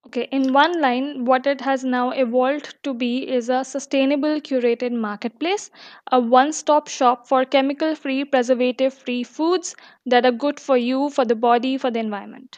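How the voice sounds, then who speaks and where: A woman with a high pitch and fairly even intonation against a quiet background. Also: moderate pace, dry, close sound with no echo. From India, Delhi. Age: 20s. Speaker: startup founder. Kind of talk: interview.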